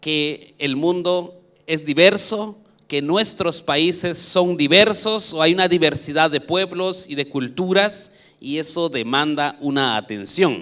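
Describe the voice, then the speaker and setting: With a Guatemalan accent, a man speaks at a very slow pace with a fairly high pitch and ordinary pitch variation. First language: K'iche' (speaking Spanish). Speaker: education official. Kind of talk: conference talk.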